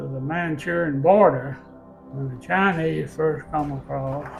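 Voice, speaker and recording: Speaking very slowly with a Southern US accent and fairly even intonation, this voice has music playing in the background. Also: man. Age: 80s+. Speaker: Korean War veteran. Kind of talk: interview answer.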